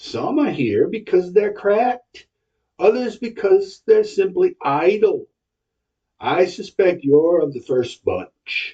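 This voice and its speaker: A man's put-on character voice, pitched high. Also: fairly slow pace. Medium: read story. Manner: light, familiar, calls others dearie.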